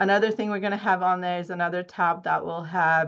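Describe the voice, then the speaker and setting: Against a quiet background, a woman talks with monotone, flat intonation. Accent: Czech. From Czech Republic. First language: Czech. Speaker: dental hygiene educator and researcher. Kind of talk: research presentation. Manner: halting, with fillers.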